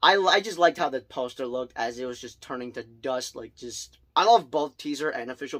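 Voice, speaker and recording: A man speaks at a fairly high pitch. He moves at a fairly quick pace with hardly any pauses. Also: big swings in loudness. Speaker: movie reviewer. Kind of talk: casual vlog review. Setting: home bedroom. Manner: fast; loud.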